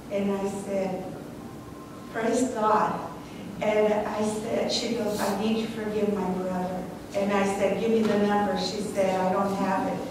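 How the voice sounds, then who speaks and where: Against noticeable background noise and strong room echo, a woman speaks in a flat monotone. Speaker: caregiver. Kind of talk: eulogy. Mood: warm, earnest. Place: church.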